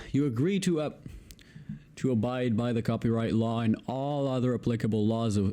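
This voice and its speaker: On a very clean recording with a silent background, a man of medium pitch speaks with an Israeli accent in a dark, mellow tone. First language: Hebrew. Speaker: YouTuber, video editor. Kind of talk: reading aloud. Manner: halting.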